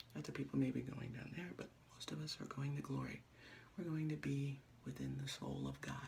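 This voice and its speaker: Over noticeable background noise, a soft-spoken man whispers at a fairly quick pace. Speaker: vlogger. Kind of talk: casual vlog monologue. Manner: fast; soft-spoken, near whisper.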